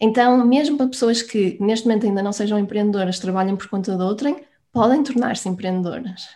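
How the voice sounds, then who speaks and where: Fairly quick in pace, a woman's somewhat breathy voice has a dark, mellow tone and a fairly high pitch. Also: ordinary pitch variation, very clean recording, silent background. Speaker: business coach. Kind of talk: interview.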